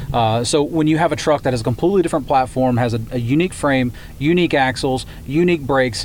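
Medium-pitched man's voice with ordinary pitch variation against noticeable background noise. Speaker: automaker representative. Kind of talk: interview.

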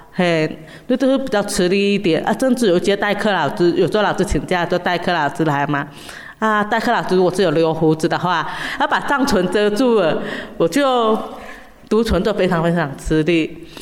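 Noticeable background noise sits behind a woman with a medium pitch speaking at a moderate pace. Her intonation is lively and her loudness very even. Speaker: special education teacher. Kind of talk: interview.

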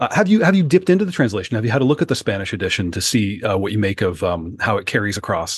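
Speaking at a very fast pace with hardly any pauses, a man uses a fairly low, somewhat breathy voice that makes very wide pitch swings against a quiet background. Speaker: podcast producer and co-host. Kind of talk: casual interview about books.

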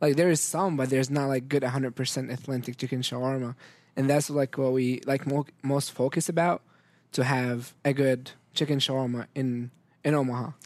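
Over a silent background in a very clean recording, a man with an Arabic accent talks at a fairly quick pace in a monotone, flat intonation at a medium pitch. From Syria. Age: young. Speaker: restaurant owner. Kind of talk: casual interview.

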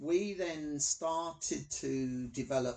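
A man speaks with a London accent. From London, Hackney. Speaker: blind Paralympic athlete. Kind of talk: interview.

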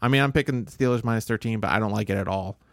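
A man with an American accent and a plain, everyday voice talks at a fairly quick pace with a fairly low pitch and ordinary pitch variation, in a dry, close sound with no echo on a very clean recording with a silent background. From Southern Illinois, US Midwest. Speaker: podcast co-host, sports bettor. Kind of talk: casual chat.

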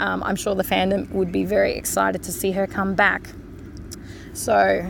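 Vocal fry runs through this woman's medium-pitched voice.

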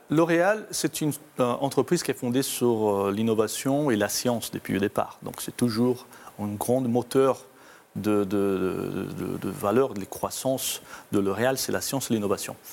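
A man of medium pitch talks at a fairly slow pace with ordinary pitch variation. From Brazil. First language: Portuguese (speaking French). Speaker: corporate IT executive. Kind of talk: interview. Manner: halting, with repetitions and fillers.

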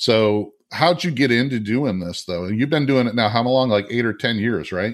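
Heard on a very clean recording with a silent background, a man with an ordinary speaking voice talks at a moderate pace with hardly any pauses, a medium pitch, and ordinary pitch variation. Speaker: podcast host. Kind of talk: interview chat. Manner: friendly, casual.

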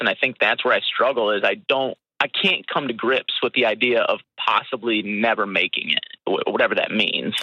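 A man at a moderate pace. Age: 30s. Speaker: caller, musician and salesman. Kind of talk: phone-in advice call.

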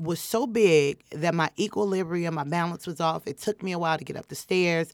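A normal speaking voice with an American accent moves at a fairly quick pace and ordinary pitch variation. The recording is very clean, dry and close, with a silent background and no echo. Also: woman. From Chicago, US Midwest. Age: 20s. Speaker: comedian. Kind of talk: casual chat. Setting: studio.

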